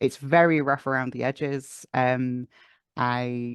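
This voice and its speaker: A man with a Welsh accent speaks at a medium pitch, the sound dry and close with no echo against a quiet background. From North Wales. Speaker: audio drama writer and sound designer. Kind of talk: interview answer.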